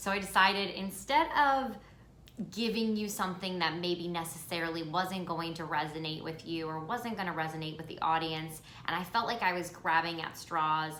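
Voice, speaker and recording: In an American accent, a woman with a warm, fairly low voice talks at a moderate pace with ordinary pitch variation. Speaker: podcast host. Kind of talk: self-care podcast monologue. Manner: casual, warm, chatty.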